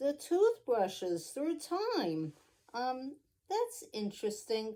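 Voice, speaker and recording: A woman puts on a character voice with a high pitch and very wide pitch swings. She delivers it at a very slow pace. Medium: read story. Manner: unenthusiastic, polite.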